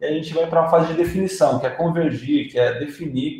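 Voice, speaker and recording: At a fairly quick pace, a man speaks with audible room echo. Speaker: UX designer presenter. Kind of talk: lecture. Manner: halting, many fillers.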